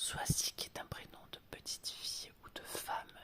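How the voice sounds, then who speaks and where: Someone is whispering. There is noticeable background noise. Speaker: former primary school worker. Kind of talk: ASMR read-aloud for children. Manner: whispered.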